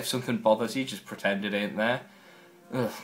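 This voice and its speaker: The speaker has a Newcastle accent. Music plays in the background. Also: man. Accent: northern English, mostly Newcastle. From northern England, Newcastle upon Tyne. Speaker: video blogger. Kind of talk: casual vlog, accent challenge.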